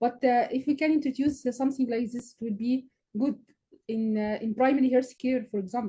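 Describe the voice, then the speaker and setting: Speaking at a fairly quick pace with an Arabic accent, a woman has a dark, mellow tone and ordinary pitch variation. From Egypt. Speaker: physician and researcher, session moderator. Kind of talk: panel discussion Q&A. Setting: online video session. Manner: halting.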